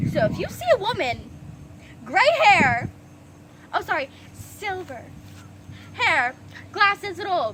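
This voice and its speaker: A raised, projected voice swings very widely in pitch over noticeable background noise. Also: woman. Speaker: storytime vlogger. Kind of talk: storytime rant. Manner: animated.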